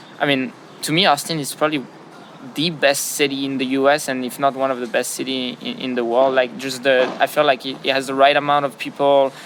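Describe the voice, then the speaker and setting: Amid noticeable background noise, a man with a French accent speaks fast-ish at a fairly high pitch, his intonation monotone and flat. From France. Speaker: business founder. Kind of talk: interview. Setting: outdoors beside padel courts. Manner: hesitant, many fillers and repetitions.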